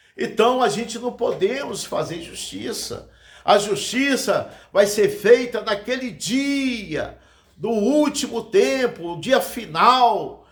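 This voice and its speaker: A man speaks at a very slow pace and an extremely high pitch, with lively intonation and big swings in loudness. Room echo is audible. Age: 60s. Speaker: evangelist preacher. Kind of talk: sermon. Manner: halting.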